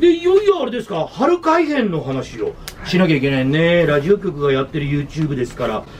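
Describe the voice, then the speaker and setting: A man speaks at a moderate pace, his pitch swinging very widely, over light background noise. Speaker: radio personality. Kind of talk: casual talk show chat. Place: office.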